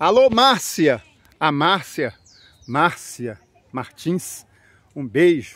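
Speaking at a very slow pace with long, frequent pauses, a man with a fairly high pitch makes very wide pitch swings, and the sound is dry with no echo. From Brazil, São Paulo region. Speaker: YouTuber. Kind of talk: vlog narration. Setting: outdoors in a park. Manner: casual, chatty. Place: open country. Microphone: phone near.

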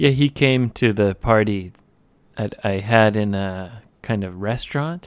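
Over a very clean recording with a silent background, a man with a fairly low pitch speaks at a very slow pace with ordinary pitch variation. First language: English (speaking Japanese). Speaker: English conversation podcast host. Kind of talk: casual chat. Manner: animated, laughing often.

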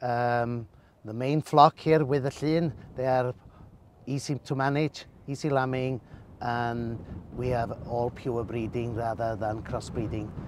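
A man at a fairly slow pace with fairly even intonation, in a dry sound with no echo and light background noise. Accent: Welsh. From north Wales, Llŷn Peninsula; north Wales. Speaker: sheep breeder. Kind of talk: casual interview. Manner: halting. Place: car. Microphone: phone near.

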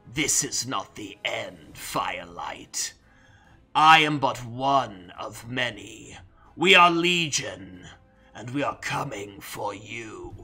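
A man puts on a character voice at a medium pitch and speaks very slowly. Faint music plays in the background. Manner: snickering, berating, menacing.

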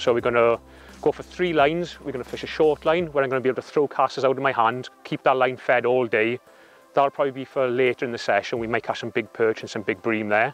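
Faint music plays in the background as a man speaks very fast with fairly even intonation, the sound dry with no echo. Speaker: presenter. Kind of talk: tutorial. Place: waterside.

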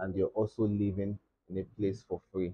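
The speaker is somewhat breathy and keeps a moderate pace. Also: man. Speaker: guest. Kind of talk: interview answer. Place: studio.

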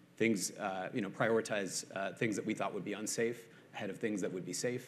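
This man has an ordinary speaking voice with a fairly low pitch. He talks at a fairly quick pace with ordinary pitch variation. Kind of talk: interview answer. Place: stage. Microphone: lapel.

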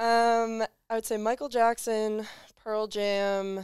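With a quiet background, a woman is talking. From North Jersey; New Jersey. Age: young. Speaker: college basketball player; guest. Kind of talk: casual chat. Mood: relaxed, friendly. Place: studio. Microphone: headset.

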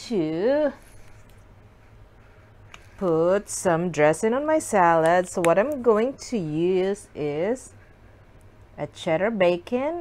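Her pitch swings very widely as she speaks at a very slow pace. The woman leaves long, frequent pauses. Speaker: food vlogger. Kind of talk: casual mukbang chat. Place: home room. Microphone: camera far.

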